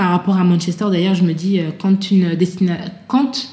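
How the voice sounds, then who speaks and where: A woman speaks at medium pitch in a somewhat breathy, dark, mellow tone. Her intonation is fairly even, and the room echo is audible. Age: 30s. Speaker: author and association founder. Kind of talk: interview testimony. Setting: at guest's home. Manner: hesitant, many fillers.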